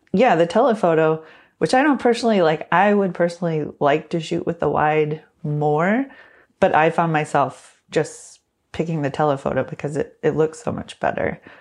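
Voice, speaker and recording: Against a quiet background, a woman with a normal speaking voice talks at a moderate pace, fairly low in pitch with lively intonation. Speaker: tech reviewer. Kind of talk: casual podcast discussion.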